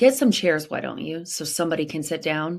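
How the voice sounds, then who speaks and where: A raspy, put-on character voice at middle pitch moves at a fairly quick pace in a very clean recording with a silent background. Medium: read story.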